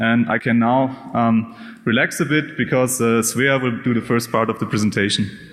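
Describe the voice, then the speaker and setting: Over noticeable background noise, a man with a German accent talks at a moderate pace with a medium pitch, fairly even intonation and very even loudness. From Germany. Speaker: data scientist. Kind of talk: conference talk. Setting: stage with audience. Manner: halting, many fillers.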